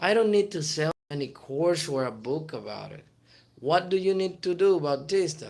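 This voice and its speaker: In a Spanish accent, a man speaks at a moderate pace. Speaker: motivational YouTuber. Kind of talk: motivational talk. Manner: animated.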